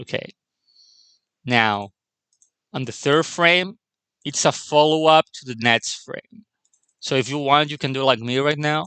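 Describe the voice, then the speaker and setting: With a non-native accent, a man talks in a bright, sharp tone. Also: dry, close sound with no echo. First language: not English. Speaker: animation tutorial creator. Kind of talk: tutorial. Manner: halting.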